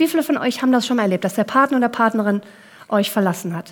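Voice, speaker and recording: A woman speaks with very wide pitch swings. Noticeable background noise can be heard. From Kenya and Germany, several countries. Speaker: coach and keynote speaker. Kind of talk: keynote talk.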